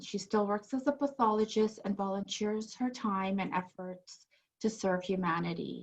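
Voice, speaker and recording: A somewhat breathy woman talks with ordinary pitch variation. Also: medium pitch for a woman, moderate pace. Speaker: podcast host. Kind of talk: show introduction.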